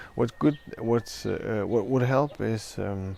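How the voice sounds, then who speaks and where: A man with a non-native accent talks at a moderate pace with ordinary pitch variation. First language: not English. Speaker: product reviewer. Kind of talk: tutorial. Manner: halting, many fillers.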